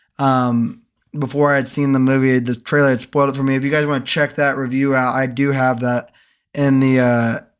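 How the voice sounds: A man speaks at a fairly quick pace in a medium pitch, his tone clear and smooth with little pitch movement. The recording is very clean, with a silent background.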